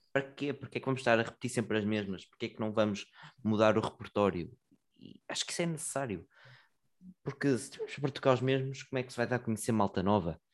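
Speaking in a European Portuguese accent, a man at medium pitch goes at a very fast pace but takes long, frequent pauses, with ordinary pitch variation. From Portugal, Santa Maria da Feira area. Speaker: musician. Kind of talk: casual chat. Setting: wearing a dog mask.

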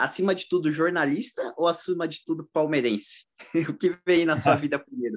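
Here a man with an unremarkable speaking voice and a fairly high pitch talks at a moderate pace with lively intonation. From East Zone of São Paulo, Brazil. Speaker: podcast co-host. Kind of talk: casual chat.

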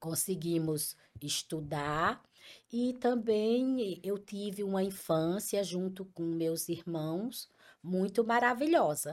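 A woman at a medium pitch speaks very slowly with lively intonation, recorded very cleanly against a silent background. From Paraíba, Brazil (Picuí). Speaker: entrepreneur, ice cream company owner. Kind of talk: interview.

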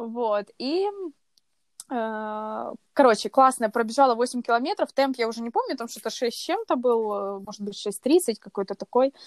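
A woman with a plain, everyday voice, fairly high in pitch with ordinary variation, at a fairly slow pace with big swings in loudness, dry and close with no echo in a very clean recording with a silent background. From Kyiv, Ukraine. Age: 20s. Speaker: runner. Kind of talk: casual chat.

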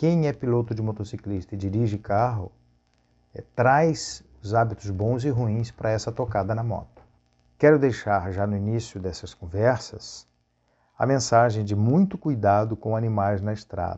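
A man speaks in an ordinary speaking voice at a fairly low pitch. His pace is moderate and his pitch variation ordinary. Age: 50s. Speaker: travel agent and motorcyclist vlogger. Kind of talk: monologue vlog.

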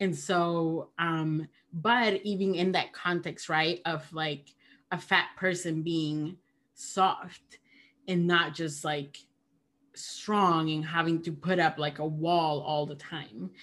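On a very clean recording with a silent background, a woman talks at a very slow pace with a fairly low pitch and fairly even intonation. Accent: Spanish. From Peru. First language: Spanish. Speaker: theologian and podcaster. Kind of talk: casual conversation.

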